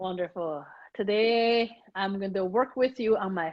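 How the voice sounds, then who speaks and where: A woman speaks fairly slowly in a Chinese accent. Her pitch is medium and her intonation lively. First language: Mandarin Chinese. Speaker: communication strategist and author. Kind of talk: accent coaching session; reading aloud.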